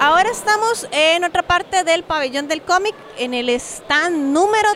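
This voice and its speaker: Noticeable background noise sits under the voice. The pace is fairly slow and the intonation lively. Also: woman. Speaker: podcast host. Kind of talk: casual chat and interviews. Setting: book fair venue.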